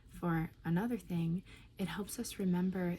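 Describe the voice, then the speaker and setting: A soft-spoken woman talks at a fairly slow pace and a fairly low pitch. Her tone is dark and mellow, and somewhat breathy. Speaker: oracle card reader. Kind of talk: channeled card reading.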